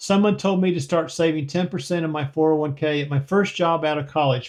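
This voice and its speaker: This is a man's voice with ordinary pitch variation. The background is quiet. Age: 60s. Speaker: retiree vlogger answering viewer comments. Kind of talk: casual Q&A reading viewer comments. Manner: conversational with frequent fillers.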